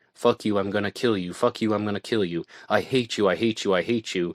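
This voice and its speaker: In a put-on character voice, a man growls at a fairly low pitch and a very fast pace. His intonation is fairly even, and the sound is dry and close with no echo. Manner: talking through clenched teeth; angry, menacing.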